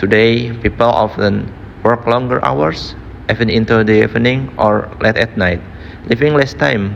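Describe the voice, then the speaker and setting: A man talks at a fairly slow pace and a fairly low pitch. His pitch variation is ordinary, and there is noticeable background noise. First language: not English. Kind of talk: IELTS speaking practice answer.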